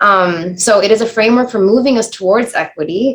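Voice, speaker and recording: A woman with an American accent speaks at a fairly quick pace in a medium pitch with ordinary pitch variation. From United States. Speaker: diversity workshop facilitator. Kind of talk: workshop presentation. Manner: fast.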